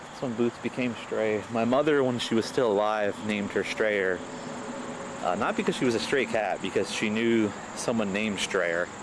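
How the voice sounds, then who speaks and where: Soft-spoken, a man with a fairly low pitch keeps a fairly even intonation over noticeable background noise. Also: moderate pace. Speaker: vlogger filming a walk. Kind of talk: casual walking vlog monologue. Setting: outdoors on a bike path. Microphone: camcorder mic, voice recorded very quiet.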